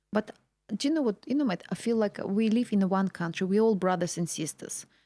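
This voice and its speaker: A woman speaks with a Russian accent at a medium pitch, her tone dark and mellow. The sound is dry and close, with no echo. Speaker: real estate agent. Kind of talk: interview chat.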